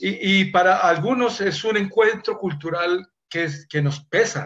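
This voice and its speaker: The speaker talks at a fairly slow pace. The pitch varies in an ordinary way. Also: man, high pitch for a man. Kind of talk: casual chat.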